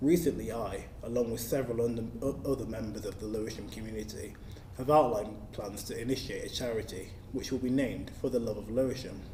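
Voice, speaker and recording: Very fast speech from a man with a London accent, medium pitch and fairly even intonation, in audible room echo. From South East London. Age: 20s. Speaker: local councillor. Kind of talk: scripted manifesto speech. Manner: formal.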